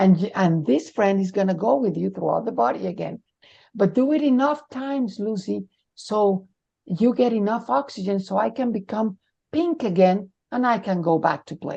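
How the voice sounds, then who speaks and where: This woman has a medium pitch, a dark, mellow tone and a Spanish accent. She talks at a moderate pace with very wide pitch swings against a quiet background. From Mexico. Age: 60s. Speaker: near-death experiencer sharing her story. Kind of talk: interview testimony.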